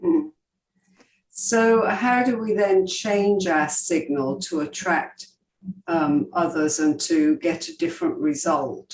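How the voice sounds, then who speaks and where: Speaking at a very slow pace, a woman with a slight English accent uses a medium pitch and very wide pitch swings. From England. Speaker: podcast host. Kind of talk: podcast interview.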